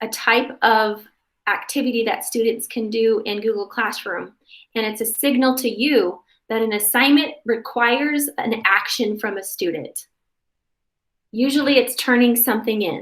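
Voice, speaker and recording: At a moderate pace, a woman with a fairly high pitch and a plain, everyday voice speaks with ordinary pitch variation. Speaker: workshop presenter for parents. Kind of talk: tutorial.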